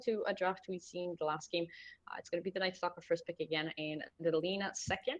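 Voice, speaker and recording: A woman at medium pitch and a very fast pace. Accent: Israeli. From Israel. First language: Hebrew. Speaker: esports caster. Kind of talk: live commentary; casual chat. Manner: animated.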